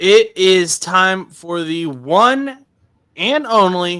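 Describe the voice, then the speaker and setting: A man's raised, projected voice, high-pitched and bright and sharp in tone. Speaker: sports podcast host. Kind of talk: casual chat.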